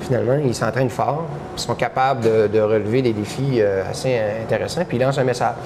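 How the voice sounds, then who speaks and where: The speech comes at a fairly quick pace with very even loudness, over noticeable background noise. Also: man, medium pitch for a man, ordinary pitch variation. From Quebec, Saguenay–Lac-Saint-Jean. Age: 40s. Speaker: amateur triathlete, charity founder. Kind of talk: interview testimony. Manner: animated storytelling.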